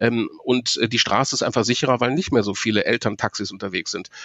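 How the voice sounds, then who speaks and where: The speaker has a normal speaking voice and moves at a fairly quick pace. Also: man. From Ruhr area, Germany (Marl). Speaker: professional voice speaker and cycling activist, former reporter. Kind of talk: interview.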